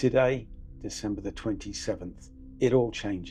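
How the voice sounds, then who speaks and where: A man with a British accent speaks at a medium pitch with ordinary pitch variation, music playing in the background. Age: 60s. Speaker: fitness vlogger, retired paramedic. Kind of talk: personal vlog monologue.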